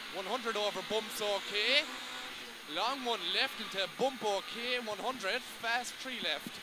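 A man speaks very slowly in a high voice. Loud background noise fills the dry recording, which has no echo. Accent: Cork. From Ireland, Cork. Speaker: rally co-driver. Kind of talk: pace note calling. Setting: in a rally car during a stage. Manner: breaks into laughs and swearing between calls. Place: car. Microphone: headset.

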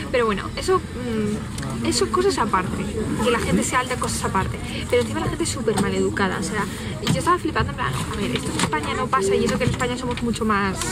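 A woman speaks very fast against loud background noise. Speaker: vlogger. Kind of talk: casual vlog chat. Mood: animated, complaining storytelling. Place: bus. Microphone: phone near.

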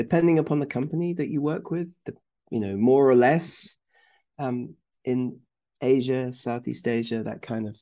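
The voice has a dark, mellow tone, ordinary pitch variation and a moderate pace. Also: man, medium pitch for a man.

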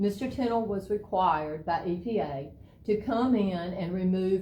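Speaking with a Georgia accent, a woman sounds somewhat breathy at medium pitch, with ordinary pitch variation. Her pace is fairly slow, and audible room echo surrounds her. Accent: Georgia Southern. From US South. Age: 50s. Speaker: local resident speaking at public hearing. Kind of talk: public comment at county meeting. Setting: county commissioners meeting.

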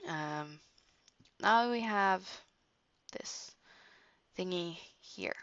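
A woman speaks at a very slow pace with a medium pitch. Her delivery has long, frequent pauses. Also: ordinary pitch variation. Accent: Norwegian. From Norway. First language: Norwegian. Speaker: digital art tutorial creator. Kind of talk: tutorial. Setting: screen recording at home computer. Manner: halting.

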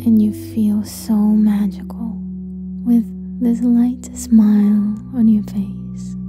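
Music plays behind the voice. The woman talks at a very slow pace. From Ukraine. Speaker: meditation guide. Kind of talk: guided sleep meditation. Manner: calm, soothing.

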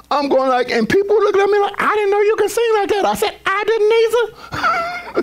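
The speaker sounds animated, moving at a moderate pace with hardly any pauses against noticeable background noise. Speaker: pastor. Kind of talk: sermon.

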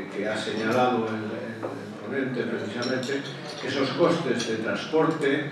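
Strong room echo surrounds a man with ordinary pitch variation. Background noise is noticeable. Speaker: audience member. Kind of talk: question-time comment. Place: hall.

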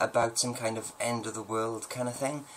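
Light background noise accompanies a man talking at a fairly quick pace. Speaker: poet and video host. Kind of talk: poetry reading. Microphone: webcam.

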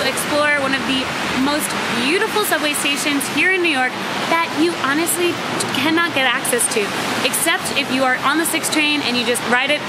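Speech with ordinary pitch variation plays over music in the background. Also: woman. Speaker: travel vlogger. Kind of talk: casual vlog chat. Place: street. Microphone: phone near.

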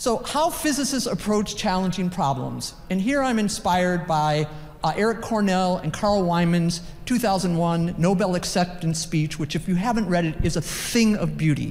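A plain, everyday voice moves at a moderate pace, with ordinary pitch variation and very even loudness. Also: woman, fairly low pitch for a woman. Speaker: physics professor. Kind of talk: conference talk. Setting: conference session with audience.

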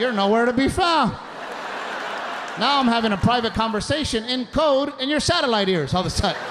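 Speaking at a fairly quick pace with long, frequent pauses, a man uses an extremely high pitch and lively intonation over crowd noise in the background. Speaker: stand-up comedian. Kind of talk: stand-up comedy routine. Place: stage. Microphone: handheld.

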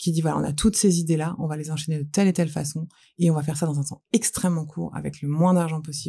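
A dark, mellow tone, somewhat breathy, with monotone, flat intonation at a fairly quick pace. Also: woman. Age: 40s. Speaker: entrepreneur; guest. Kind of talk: casual interview chat. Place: studio. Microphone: studio mic.

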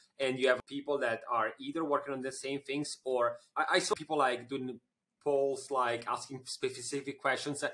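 A man with an Italian accent and a bright, sharp tone. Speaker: podcast host, marketing agency CEO. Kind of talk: podcast interview. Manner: halting. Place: office. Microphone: studio mic.

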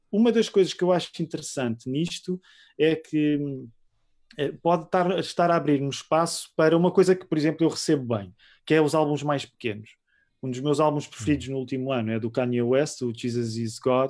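In a European Portuguese accent, a man with a fairly high voice speaks at a fairly quick pace against a quiet background. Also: ordinary pitch variation. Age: 40s. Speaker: pastor and musician. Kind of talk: casual interview.

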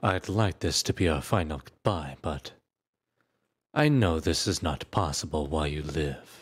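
A man's very deep, low voice with vocal fry and a theatrical, menacing tone at a fairly slow pace, on a very clean recording with a silent background. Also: ordinary pitch variation. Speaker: voice actor performing a fictional character. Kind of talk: dramatic narration, in-character roleplay ASMR-style audio drama. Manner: theatrical, menacing, condescending, shifting from cold taunts to forceful outbursts.

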